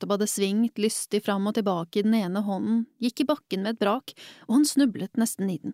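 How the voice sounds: What we hear is a natural reading voice.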